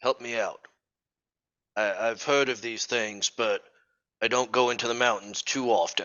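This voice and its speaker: Using a put-on character voice, a raspy man speaks at a moderate pace and medium pitch, leaving long, frequent pauses. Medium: actual play. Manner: chatty, gossipy.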